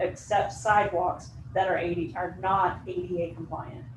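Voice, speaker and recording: Lively intonation from a woman at a medium pitch, with audible room echo. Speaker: planning consultant. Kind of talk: presentation to county board. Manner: fast.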